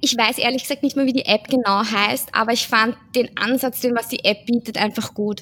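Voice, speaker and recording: The voice has a bright, sharp tone and a monotone, flat intonation. It moves at a moderate pace with hardly any pauses. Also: woman, fairly high pitch for a woman. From Austria, Vienna. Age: 30s. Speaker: social pedagogue and amateur runner. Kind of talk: casual chat.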